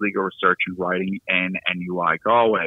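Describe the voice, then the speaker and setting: Speaking with a Boston accent, a man talks at a fairly quick pace. His fairly low pitch stays flat and monotone. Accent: Boston American. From US Northeast, Boston. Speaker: law lecturer. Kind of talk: podcast interview. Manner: hesitant, many fillers.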